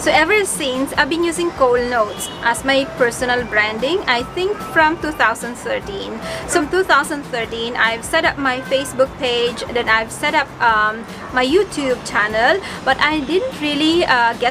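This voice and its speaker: At a fairly slow pace, a woman with a high pitch speaks with ordinary pitch variation over noticeable background noise. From Bicol, Philippines. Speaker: vlogger, single parent. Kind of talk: casual talk to camera. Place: home room. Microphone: phone near.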